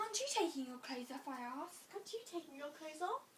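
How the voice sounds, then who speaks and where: Over clear background noise, someone uses a put-on character voice, high-pitched and very fast. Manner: zombie voice.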